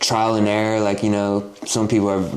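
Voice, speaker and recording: Fairly quick and fairly low in pitch, a man's voice comes through with audible room echo and noticeable background noise. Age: 20s. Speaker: podcast host. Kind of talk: casual chat.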